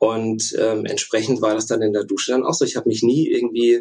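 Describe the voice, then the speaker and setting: This man has a dark, mellow tone. He speaks at a moderate pace with ordinary pitch variation. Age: 30s. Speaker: former elite canoeist, engineering student. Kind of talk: interview. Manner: hesitant, many filler sounds.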